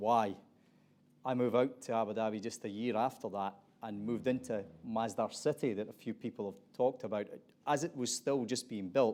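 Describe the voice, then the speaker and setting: A man's dark, mellow voice with an Aberdeen accent, fairly quick and fairly even in intonation. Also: medium pitch for a man, very clean recording, silent background. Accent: Aberdeen Scottish. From Scotland, Aberdeen. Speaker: panel moderator. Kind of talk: panel discussion moderation.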